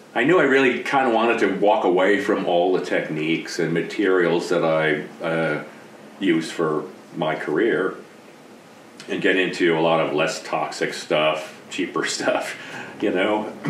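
With an American accent, a man speaks in a very deep, low pitch at a fairly slow pace with ordinary pitch variation. Noticeable background noise is present. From US East Coast. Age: 60s. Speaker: retired special effects artist. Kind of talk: casual interview.

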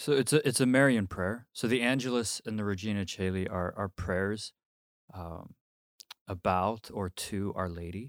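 A man with a normal speaking voice talks at a fairly low pitch and moderate pace, with ordinary pitch variation, in a very clean recording with a silent background. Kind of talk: casual conversational podcast, mailbag-style Q&A.

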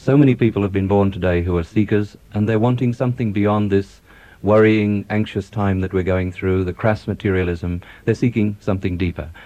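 With an Australian accent, a man talks at a fairly quick pace in a fairly low pitch, his dark, mellow tone carrying fairly even intonation. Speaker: doctor. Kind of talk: radio interview. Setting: studio.

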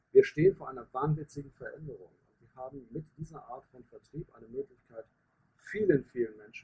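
A man at a moderate pace in a dry, close sound with no echo. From northern Germany, Hanover. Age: 50s. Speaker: business coach and network marketer. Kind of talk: podcast interview. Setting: in person, outdoors in the sun.

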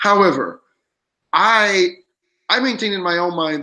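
A man speaks here. His tone is bright and sharp. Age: 30s. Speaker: podcast co-host. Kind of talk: casual chat. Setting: remote recording.

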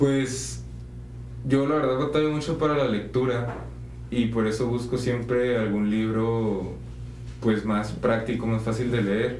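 Speaking at a fairly slow pace with long, frequent pauses, a man with a medium pitch keeps his intonation fairly even. There is noticeable background noise and audible room echo. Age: 20s. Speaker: seminarian. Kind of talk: casual chat.

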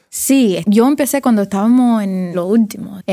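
A woman with a Cuban accent speaks at a fairly slow pace. Her pitch varies in an ordinary way. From Miami, Cuban-American family. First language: English (speaking Spanish). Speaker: designer. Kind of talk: interview. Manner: halting, code-switching Spanglish.

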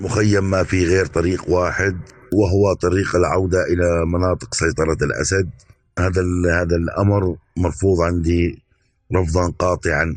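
This man has a very deep, low voice and speaks at a fairly slow pace. His delivery is monotone and flat, with very even loudness. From Syria, Palmyra (Homs province). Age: 40s. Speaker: nurse. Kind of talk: testimony.

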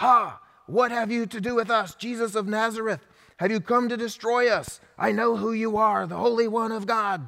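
Using a put-on character voice, a man with a high pitch speaks at a moderate pace. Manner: bad demon impersonation.

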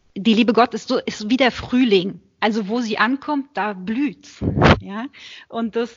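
A woman with a plain, everyday voice. She talks at a moderate pace with ordinary pitch variation. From Germany, Berlin. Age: 30s. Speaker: Benedictine nun. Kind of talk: interview.

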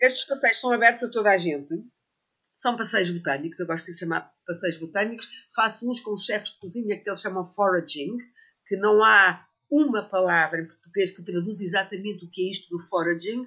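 A woman's plain, everyday voice, medium in pitch, with ordinary pitch variation and a fairly quick pace. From Portugal, Sintra area. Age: 60s. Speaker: herbalist and botanical author. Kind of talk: casual interview.

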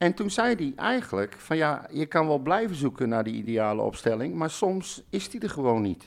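This man's voice sits at a fairly high pitch and makes very wide pitch swings. He keeps a moderate pace. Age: 50s. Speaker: football podcast host. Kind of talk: casual chat.

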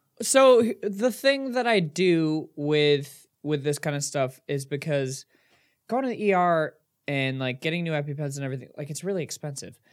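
A man with a plain, everyday voice, fairly high in pitch, lively in intonation, at a moderate pace, in a very clean recording with a silent background. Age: 20s. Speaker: podcast co-host. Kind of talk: casual chat. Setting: video recording.

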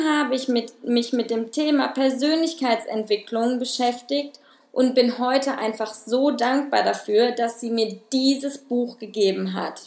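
A woman talks in a high voice with ordinary pitch variation. Her pace is fairly slow, yet she hardly pauses. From Germany, Ruhr area (Witten). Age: 30s. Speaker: podcast host, personal development. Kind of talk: solo podcast monologue.

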